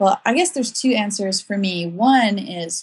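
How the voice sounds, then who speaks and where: A woman's somewhat breathy voice at a moderate pace, with ordinary pitch variation. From South Africa. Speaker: author and blogger. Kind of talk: casual interview chat.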